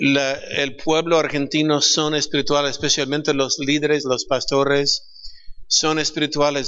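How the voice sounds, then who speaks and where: A man speaks with an English accent at a fairly slow pace. His pitch sits fairly high. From California, US. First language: English (speaking Spanish). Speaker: pastor. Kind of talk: panel discussion.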